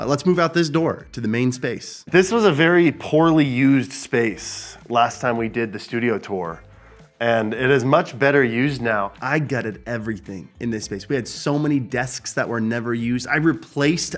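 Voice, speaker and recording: A man at a moderate pace with ordinary pitch variation and hardly any pauses, faint music in the background. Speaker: host giving studio tour. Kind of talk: casual vlog chat. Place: studio.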